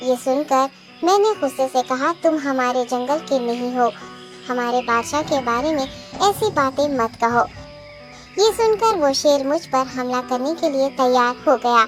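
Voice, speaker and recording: The voice sounds female and is a cartoonish character voice. Clear music plays in the background. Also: moderate pace. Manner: deferential, courteous.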